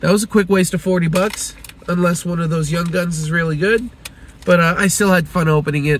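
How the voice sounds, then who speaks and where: Talking at a fairly quick pace, a man with a high pitch keeps his intonation fairly even against light background noise. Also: dry sound with no echo. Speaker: card collecting vlogger. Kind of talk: casual vlog chat. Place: car. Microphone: phone near.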